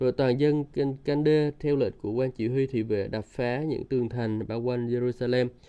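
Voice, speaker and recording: Speaking at a medium pitch and a moderate pace, a man uses a normal speaking voice. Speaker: Bible teacher. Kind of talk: devotional Bible teaching with prayer.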